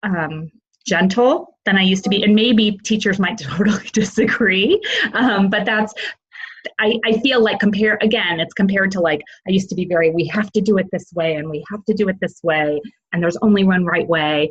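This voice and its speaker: The voice is somewhat breathy, with an American accent. It moves at a fairly quick pace with ordinary pitch variation. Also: woman, medium pitch for a woman. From US Midwest, Illinois. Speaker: parent. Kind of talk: interview. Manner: halting.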